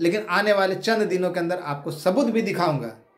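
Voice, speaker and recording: A man with ordinary pitch variation, heard with audible room echo. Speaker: activist leader of job aspirants. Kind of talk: video address to followers. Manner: animated.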